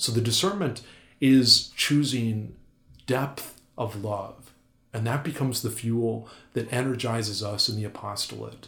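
At a fairly slow pace, a man with a medium pitch and ordinary pitch variation talks amid audible room echo. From North Dakota. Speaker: Jesuit priest. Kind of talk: interview.

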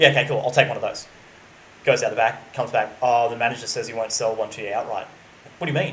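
A man with an Australian accent at a very fast pace, over noticeable background noise. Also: big swings in loudness. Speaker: podcast co-host. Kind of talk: casual chat.

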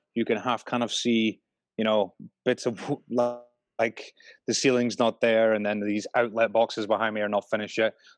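Against a quiet background, a man with a Scottish accent speaks at a fairly quick pace with a dry, close sound and no echo. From Scotland. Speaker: brewer, beer maker. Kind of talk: casual interview.

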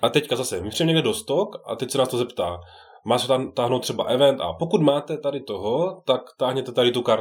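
Using lively intonation and vocal fry, a man talks at a fairly quick pace. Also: medium pitch for a man. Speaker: board game enthusiast. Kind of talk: casual chat.

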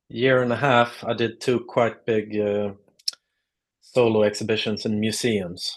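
A man's medium-pitched voice, fairly slow pace and monotone, flat intonation. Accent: Swedish. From southern Sweden (Lund). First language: Swedish. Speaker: artist. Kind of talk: casual interview.

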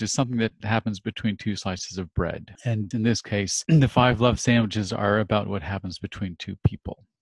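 A man with an American accent talks at a fairly quick pace, somewhat breathy, with a dry, close sound with no echo and a quiet background. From California, US. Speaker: humanitarian NGO worker. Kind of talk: casual faith-based interview.

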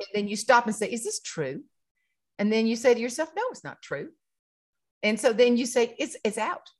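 Delivered with a South Carolina accent at a moderate pace, the speech has lively intonation and big swings in loudness. Long, frequent pauses break it up. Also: woman, fairly high pitch for a woman. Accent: Southern US (South Carolina). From South Carolina, rural farming community. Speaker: humorist and keynote speaker. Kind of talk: casual interview chat. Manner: animated, laughs often.

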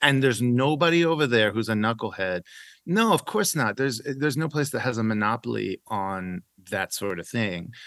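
In a plain, everyday voice, a man speaks at a fairly quick pace and medium pitch with lively intonation against a quiet background. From Iran, raised in Oklahoma. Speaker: author. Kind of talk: interview.

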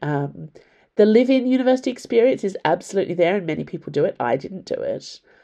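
Over a quiet background, a woman with an Australian accent talks at a fairly quick pace, her dark, mellow tone moving through very wide pitch swings. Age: 40s. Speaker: author and podcaster. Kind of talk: casual monologue answering listener questions. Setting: home library.

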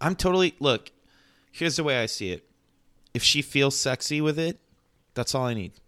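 On a very clean recording with a silent background, a man with an American accent speaks at a fairly quick pace with long, frequent pauses, his fairly high, bright, sharp voice carrying lively intonation. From Mexico City, partly raised in the US. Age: 30s. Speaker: rock musician. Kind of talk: casual chat.

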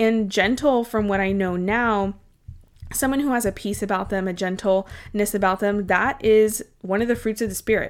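Over a very clean, silent background, a woman speaks at a moderate pace in a medium pitch with fairly even intonation and a plain, everyday voice. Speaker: podcast host, dietitian. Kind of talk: solo podcast monologue, encouraging talk.

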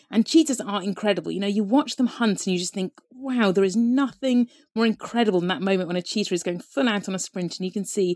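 Very fast speech in a dark, mellow tone, with a dry, close sound with no echo, on a very clean recording against a silent background. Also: woman. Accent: southern English. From Devon, southwest England. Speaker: wildlife conservation researcher. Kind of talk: casual interview.

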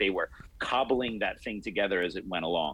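A man's voice with vocal fry at a fairly quick pace. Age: 40s. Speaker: martial arts instructor and podcaster. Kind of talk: casual interview.

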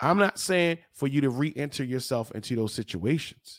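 An energetic male voice of medium pitch at a moderate pace, ordinary pitch variation, on a very clean recording with a silent background. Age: 40s. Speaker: podcast host and mindset coach. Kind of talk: motivational pep talk, preacher-like self-care exhortation to listeners. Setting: studio. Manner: energetic, emphatic and repetitive, urging directly to listener.

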